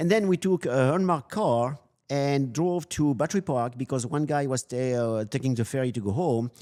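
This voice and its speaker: A man with a strong French accent talks at a fairly quick pace in a fairly high, dark, mellow voice. His intonation is lively, and the recording is very clean with a silent background. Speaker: loss prevention specialist. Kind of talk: interview storytelling. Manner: halting, with many fillers; animated.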